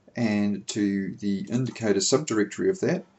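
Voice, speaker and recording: Here a man is talking. His pitch sits in the medium range. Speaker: software developer giving tutorial. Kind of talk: screencast tutorial. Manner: slow; deliberate.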